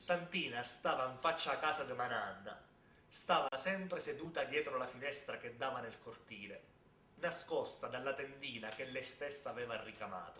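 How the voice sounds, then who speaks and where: This man speaks with a Sicilian accent in a fairly high pitch. His pace is moderate, and his pitch variation is ordinary. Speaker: theatre storyteller. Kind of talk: storytelling performance.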